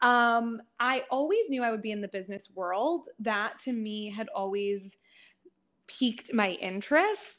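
Speaking with an American accent, a woman with a normal speaking voice talks at a fairly high pitch and fairly slow pace with ordinary pitch variation, on a very clean recording with a silent background. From US, northeastern Pennsylvania. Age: 30s. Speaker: workshop facilitator and business coach. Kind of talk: casual interview.

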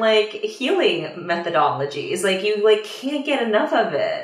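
With an American accent, the speaker moves at a fairly slow pace through very wide pitch swings amid audible room echo. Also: woman. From Washington DC area, US. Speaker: career astrologer and mindset coach. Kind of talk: casual interview chat. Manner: hesitant, many fillers.

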